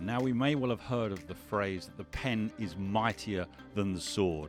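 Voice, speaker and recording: Over music in the background, a man with a medium pitch speaks at a moderate pace. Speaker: podcast host. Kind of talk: podcast interview.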